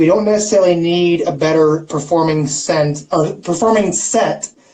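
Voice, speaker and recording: A high-pitched man speaks in an American accent at a moderate pace, with ordinary pitch variation. His loudness stays very even against noticeable background noise. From St. Louis, Missouri. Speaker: livestream host. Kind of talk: casual chat. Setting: live stream.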